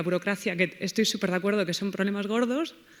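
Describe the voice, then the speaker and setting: A woman with a Spanish accent talks at a very fast pace, her fairly high pitch varying in an ordinary way. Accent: Spanish (Spain). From Spain. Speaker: audience member, postdoctoral researcher. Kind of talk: audience question.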